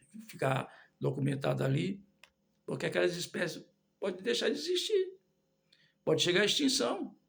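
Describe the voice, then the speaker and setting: With long, frequent pauses, this man talks at a moderate pace. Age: 60s. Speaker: lay preacher. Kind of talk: sermon. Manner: halting.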